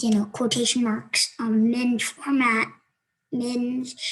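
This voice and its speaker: A woman talks in a fairly high voice. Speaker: coding tutorial youtuber. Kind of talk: tutorial. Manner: hesitant, many fillers.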